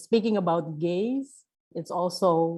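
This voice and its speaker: A woman speaks at a very slow pace. She has a non-native accent. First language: not English. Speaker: panel speaker. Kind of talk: panel discussion. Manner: halting, many fillers and repetitions.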